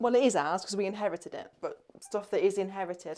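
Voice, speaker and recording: Someone with an English accent speaks at a moderate pace. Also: woman. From England. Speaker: vlogger. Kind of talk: house tour vlog. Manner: casual, hesitant with fillers; loud.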